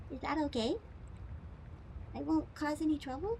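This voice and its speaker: Over clear background noise, a put-on character voice sounds nasal and high-pitched at a moderate pace. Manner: meek, cute, asking permission.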